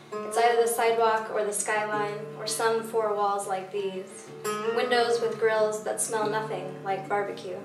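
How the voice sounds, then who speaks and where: Noticeable background noise sits behind a woman with a fairly high pitch. She talks at a moderate pace in a monotone, flat intonation. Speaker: poet. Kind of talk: poetry reading. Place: stage.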